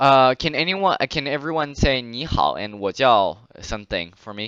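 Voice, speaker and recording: With a Chinese accent, a man speaks at a moderate pace in a bright, sharp tone. His intonation is lively, and his loudness swings widely. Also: medium pitch for a man. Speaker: Chinese language teacher. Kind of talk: online language class.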